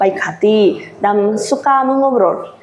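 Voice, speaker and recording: Fairly high-pitched woman's voice with ordinary pitch variation and audible room echo. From Japan. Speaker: Japanese exchange teaching assistant. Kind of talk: interview. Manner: halting.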